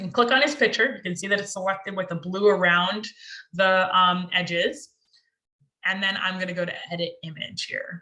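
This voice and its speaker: Her tone is bright and sharp, with big swings in loudness and ordinary pitch variation. A woman with an American accent speaks at a medium pitch and a moderate pace. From Florida, Martin County (Jensen Beach). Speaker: social media coach. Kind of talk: tutorial. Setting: video call.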